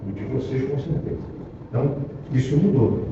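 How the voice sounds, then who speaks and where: The room has an audible echo, with noticeable background noise behind it. The speech moves at a moderate pace. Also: man. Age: 70s. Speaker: urban planning speaker at council meeting. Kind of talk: presentation at public council meeting. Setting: meeting room in municipal library. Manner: halting, with many repetitions.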